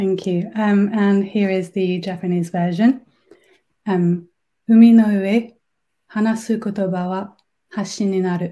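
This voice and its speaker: Speaking at a very slow pace with long, frequent pauses, a woman has a somewhat breathy, dark, mellow tone at a medium pitch with monotone, flat intonation, on a very clean recording with a silent background. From France. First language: French. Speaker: competition winner, language learner. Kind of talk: casual interview.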